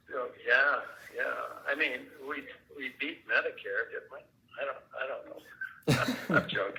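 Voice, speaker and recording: A man speaking fairly slowly with long, frequent pauses and big swings in loudness, over noticeable background noise. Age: 70s. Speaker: property owner selling a home. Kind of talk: phone negotiation, casual. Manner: halting, repetitive false starts.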